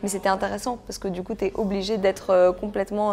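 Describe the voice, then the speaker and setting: A woman speaks at a medium pitch with fairly even intonation and a slight non-native accent. Noticeable background noise runs behind her. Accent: slight foreign accent in French. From Belgium (Brussels), Greek family. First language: Greek (speaking French). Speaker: actress. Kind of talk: interview. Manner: hesitant, many fillers.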